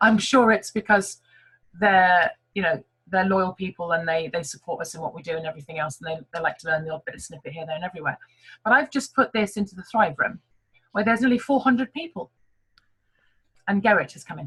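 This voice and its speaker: A woman with an English accent speaks very fast in a medium pitch, her intonation lively and her loudness swinging widely. She leaves long, frequent pauses, and the sound is dry and close with no echo. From England. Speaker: network marketing team leader. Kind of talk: online team meeting talk.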